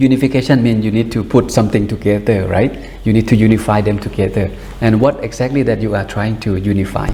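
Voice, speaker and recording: Speaking at a fairly quick pace and a fairly low pitch, a man keeps his intonation fairly even over noticeable background noise. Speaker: buddhist monk meditation teacher. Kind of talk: dharma talk before guided meditation. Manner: fast.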